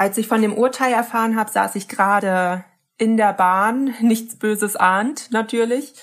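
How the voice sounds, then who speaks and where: A woman with a plain, everyday voice speaks at a fairly high pitch and a fairly slow pace. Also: fairly even intonation, very clean recording, silent background. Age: 20s. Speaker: activist. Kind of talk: interview.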